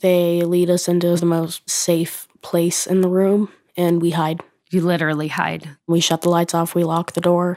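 A woman's monotone, flat intonation in an American accent, with very even loudness. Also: fairly low pitch for a woman, moderate pace. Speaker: school shooting survivor. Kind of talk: testimony.

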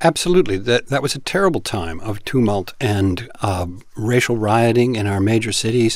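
A man with an unremarkable speaking voice talks at a medium pitch and moderate pace, with lively intonation and hardly any pauses. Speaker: political editor correspondent. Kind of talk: casual political discussion.

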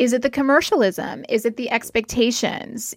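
A woman with an unremarkable speaking voice, fairly high in pitch, at a moderate pace, on a very clean recording with a silent background. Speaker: clinical psychologist. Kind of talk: advice interview.

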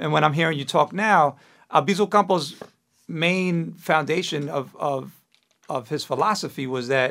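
At a moderate pace, a man with a plain, everyday voice speaks at a fairly high pitch with ordinary pitch variation. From New York, Puerto Rican parents. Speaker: podcast host. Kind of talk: casual interview chat. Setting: studio.

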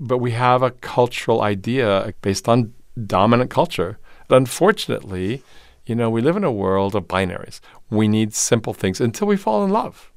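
Over a very clean recording with a silent background, a man talks at a moderate pace in a normal speaking voice, medium in pitch, with ordinary pitch variation. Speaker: theater and voice professor. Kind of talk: interview. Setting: studio in Los Angeles.

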